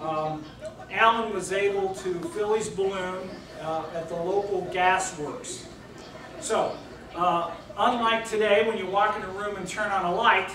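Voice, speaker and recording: Noticeable background noise and audible room echo fill the recording. The speech moves at a fairly slow pace. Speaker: guest lecturer. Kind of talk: lecture. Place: hall.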